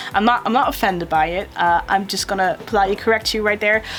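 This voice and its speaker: Over noticeable background noise, a woman with a non-native accent talks at a very fast pace, her medium pitch showing ordinary variation. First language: not English. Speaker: YouTuber reacting to a video. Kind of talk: reaction video commentary. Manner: halting, repeats words.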